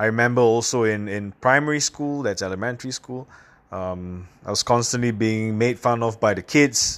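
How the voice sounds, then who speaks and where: A man with an American accent at a medium pitch, a moderate pace and ordinary pitch variation. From Singapore. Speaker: professional speaker and podcaster. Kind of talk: casual solo podcast monologue. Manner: casual, conversational, filler words.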